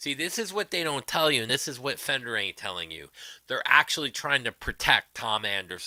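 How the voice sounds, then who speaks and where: Speaking at a fairly quick pace, a man uses very wide pitch swings and an animated, bright, sharp tone, recorded dry and close with no echo in a very clean recording with a silent background. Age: 60s. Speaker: guitar YouTuber livestream host. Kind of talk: casual livestream rant. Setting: livestream.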